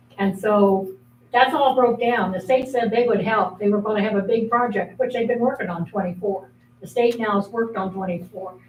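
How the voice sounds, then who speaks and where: A woman speaks at a fairly quick pace with an American accent, her pitch fairly high and her intonation fairly even. Noticeable background noise runs under her voice. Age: 80s+. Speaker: resident speaking at public meeting. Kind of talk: public comment. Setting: city meeting.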